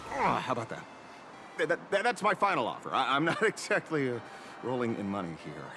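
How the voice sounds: Putting on a character voice, a man speaks at a medium pitch and a fairly quick pace, with a bright, sharp tone, very wide pitch swings and faint background noise.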